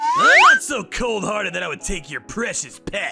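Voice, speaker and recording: Faint music plays in the background as a man speaks at a moderate pace in a put-on character voice. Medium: read story. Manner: formal, polite.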